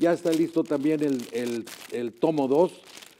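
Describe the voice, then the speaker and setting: A man's fairly high pitch shifts in an ordinary way, heard over noticeable background noise. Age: 70s. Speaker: retired teacher and author. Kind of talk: interview. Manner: halting, many fillers.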